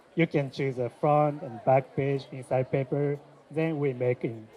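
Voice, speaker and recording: A man speaks at a moderate pace in a fairly high voice with fairly even intonation, crowd noise behind him. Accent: Japanese. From Japan. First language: Japanese. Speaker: shop owner. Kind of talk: interview. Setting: trade fair. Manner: halting, many fillers.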